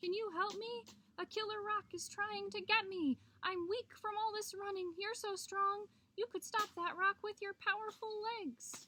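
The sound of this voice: Putting on a character voice, a woman speaks fairly slowly at an extremely high pitch, her bright, sharp tone held in fairly even intonation.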